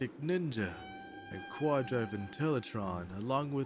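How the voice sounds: Lively intonation colors a natural reading voice.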